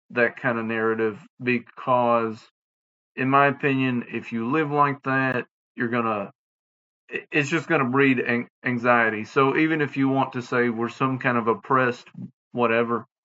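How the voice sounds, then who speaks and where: Speaking in a Southern US accent, a man keeps a moderate pace, medium pitch, and fairly even intonation, his tone bright and sharp. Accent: Southern US, drops final g, slurred. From US South. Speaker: podcast host. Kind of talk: casual monologue podcast. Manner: halting, many fillers; slurred diction.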